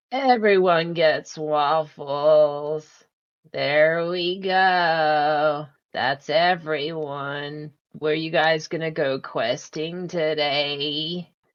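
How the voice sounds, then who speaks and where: A put-on character voice at a middle pitch delivers its lines at a very slow pace. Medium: actual play. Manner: eager, friendly.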